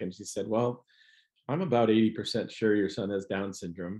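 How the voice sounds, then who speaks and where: Against a quiet background, a man with an American accent and an ordinary speaking voice talks at a medium pitch and a moderate pace. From US Midwest. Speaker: comedian. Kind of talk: casual chat.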